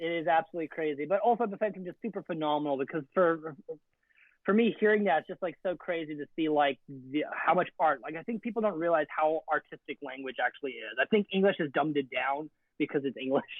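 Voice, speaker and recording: Speaking at a very fast pace with an animated tone, a man with a Canadian accent uses a fairly high pitch and ordinary pitch variation. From Canada. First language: Afrikaans. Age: 20s. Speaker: photographer. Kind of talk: casual chat.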